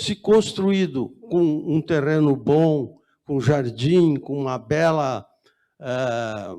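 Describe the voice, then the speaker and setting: A man's voice carries a fairly high pitch and a dark, mellow tone. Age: 80s+. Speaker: resident speaking at public hearing. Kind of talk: public hearing comment. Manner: halting, with restarts.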